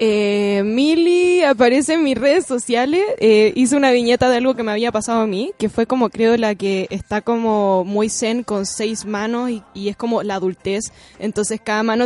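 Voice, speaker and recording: A woman's fairly high, normal speaking voice with ordinary pitch variation and hardly any pauses, in a dry, close sound with no echo. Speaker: illustrator and author. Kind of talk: interview. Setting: studio.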